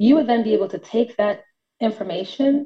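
Somewhat breathy and in an American accent, the voice moves at a fairly quick pace with ordinary pitch variation. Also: woman. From New York City, Brooklyn. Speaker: tech engineering manager. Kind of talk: casual interview.

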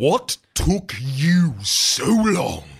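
A man puts on a character voice, pitched high. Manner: demanding.

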